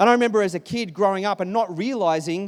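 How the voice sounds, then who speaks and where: Lively intonation and a moderate pace mark this speaker with an Australian accent. The recording is very clean and the background silent. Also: man. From Sydney, Australia. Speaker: pastor. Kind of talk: sermon. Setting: church.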